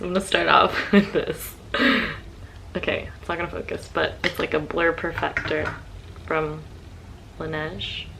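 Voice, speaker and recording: A woman speaks with big swings in loudness and long, frequent pauses. Noticeable background noise is present. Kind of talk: casual get-ready-with-me makeup talk to camera.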